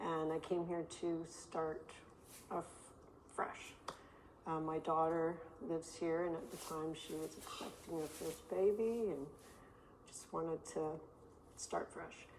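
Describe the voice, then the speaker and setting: Speaking at a fairly slow pace with long, frequent pauses, a woman keeps a fairly even intonation and fairly low pitch over noticeable background noise. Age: 60s. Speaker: registered nurse. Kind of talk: interview. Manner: halting.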